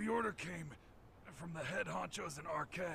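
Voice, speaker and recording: A man puts on a raspy character voice pitched high, speaking at a moderate pace. Clear background noise runs behind him. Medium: video game. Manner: crude, profane, bossy.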